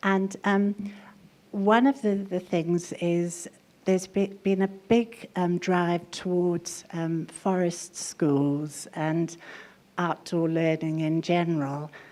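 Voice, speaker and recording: A woman's dark, mellow tone at a very slow pace. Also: fairly even intonation. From South Africa. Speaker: early childhood education panelist. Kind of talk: panel discussion. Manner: hesitant, many fillers.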